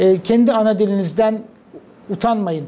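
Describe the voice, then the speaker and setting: A man's high-pitched voice, fairly even in intonation, at a fairly slow pace. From Turkey. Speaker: diplomat. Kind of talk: interview. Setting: TV studio. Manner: hesitant fillers.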